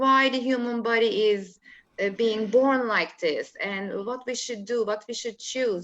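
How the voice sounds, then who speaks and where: In a quiet background, a woman with a Turkish accent speaks at a fairly slow pace and a fairly high pitch, with ordinary pitch variation. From Turkey, Istanbul. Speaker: holistic life coach. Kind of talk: interview. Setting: video call. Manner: halting.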